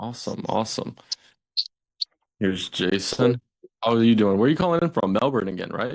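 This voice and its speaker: Speaking in an American accent at a fairly quick pace, the voice has lively intonation and long, frequent pauses. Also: man, medium pitch for a man. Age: 20s. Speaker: agency owner. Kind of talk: sales call. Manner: casual.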